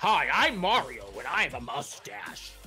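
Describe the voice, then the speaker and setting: A put-on character voice at a moderate pace over clear background noise. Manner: cheerful, excited.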